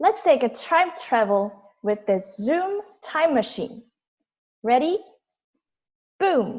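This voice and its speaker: A woman with a Korean accent speaks very slowly at a high pitch, with very wide pitch swings and long, frequent pauses. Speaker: toastmasters member giving prepared speech. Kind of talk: prepared speech. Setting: video call.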